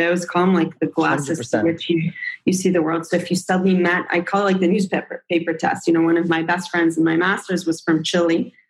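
A woman with a plain, everyday voice and an American accent, fairly quick and fairly even in intonation. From Israel and the US. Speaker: startup founder and CEO. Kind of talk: interview.

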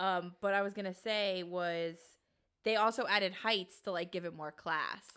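Speaking at a moderate pace with an American accent, a woman has a bright, sharp tone, medium pitch and fairly even intonation in a very clean recording with a silent background. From New York City, Queens (College Point). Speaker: podcast co-host. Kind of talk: casual chat.

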